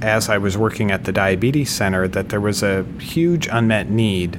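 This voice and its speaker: With ordinary pitch variation, the speech is heard amid noticeable background noise and audible room echo. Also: man. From US Midwest, Minnesota. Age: 50s. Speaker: medical device technology leader. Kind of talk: interview.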